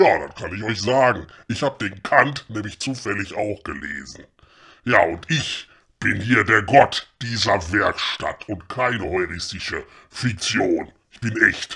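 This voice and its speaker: At a fairly slow pace, a man with a gruff, raspy voice of medium pitch speaks with big swings in loudness. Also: lively intonation, very clean recording, silent background. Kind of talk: comic radio play. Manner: gruff, grumbling, coarse.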